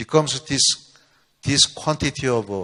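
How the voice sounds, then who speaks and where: A man speaks at a medium pitch with a non-native accent. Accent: non-native English, limited. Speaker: researcher giving a company seminar. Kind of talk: lecture. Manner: halting.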